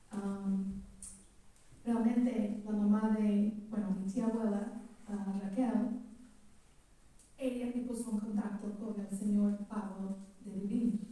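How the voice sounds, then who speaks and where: Speaking at a very slow pace with long, frequent pauses, a woman holds a fairly high pitch in a monotone, flat intonation, with audible room echo around her. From California, US. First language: English (speaking Spanish). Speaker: relative of the novel's protagonist. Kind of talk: public talk at book presentation. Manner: halting.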